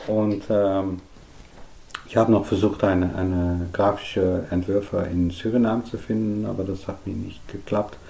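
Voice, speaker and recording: A man with a Dutch accent, monotone and flat in intonation. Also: fairly low pitch for a man, moderate pace. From Netherlands. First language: Dutch (speaking German). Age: 50s. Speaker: artist. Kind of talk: interview. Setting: artist's studio worktable. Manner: halting.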